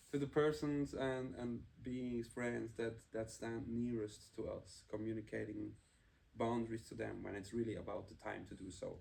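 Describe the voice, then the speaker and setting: A man with a German accent speaks at a moderate pace. His medium-pitched voice has fairly even intonation. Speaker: podcast co-host. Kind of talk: casual chat.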